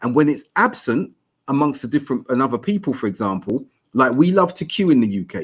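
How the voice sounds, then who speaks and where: A man with a South London accent talks at a very fast pace in a medium pitch. His pitch swings very widely. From South London (Tooting). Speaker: academic guest on Islamic podcast. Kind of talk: podcast discussion.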